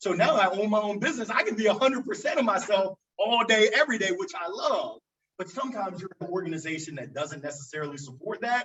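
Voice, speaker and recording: Loud and energetic, a man talks at a very fast pace with a high pitch and very wide pitch swings. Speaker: business owner. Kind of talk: panel discussion.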